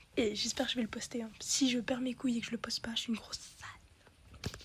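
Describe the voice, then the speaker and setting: Someone whispers at a moderate pace. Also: woman. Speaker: YouTuber. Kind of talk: casual vlog. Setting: bedroom. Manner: halting.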